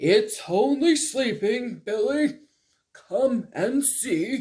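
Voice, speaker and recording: The speaker uses a put-on character voice at a fairly high pitch. The delivery is very slow. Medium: read story. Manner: warm, patient, gentle.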